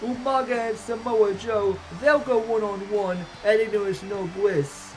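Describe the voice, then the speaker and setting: Noticeable background noise runs beneath talking delivered at a moderate pace. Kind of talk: wrestling show commentary, event preview. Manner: hyped announcer delivery.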